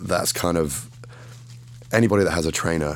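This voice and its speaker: A man speaks in an English accent with noticeable background noise. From England. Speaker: fitness model and bodybuilding champion. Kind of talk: casual interview chat.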